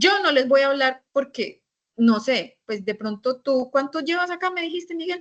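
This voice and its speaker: Lively intonation from a woman pitched high. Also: moderate pace. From Colombia. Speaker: teacher. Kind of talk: lecture.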